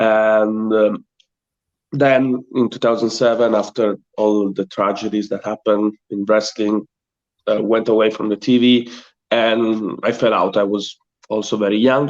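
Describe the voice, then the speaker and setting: A man with a strong Italian accent speaks in a flat monotone at a fairly low pitch. The sound is dry and close, with no echo. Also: fairly slow pace. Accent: thick Italian. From Italy. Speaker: pro wrestler. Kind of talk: interview. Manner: halting.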